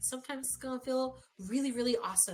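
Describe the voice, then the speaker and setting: The speaker is a woman. Her delivery moves at a fairly quick pace. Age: 30s. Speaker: human design and breath work coach. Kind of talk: casual chat. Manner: loud.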